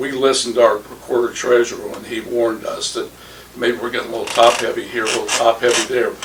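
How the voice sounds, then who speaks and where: The speaker is a man. Background noise is noticeable throughout. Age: 60s. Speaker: mayoral candidate. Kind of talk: political roundtable discussion.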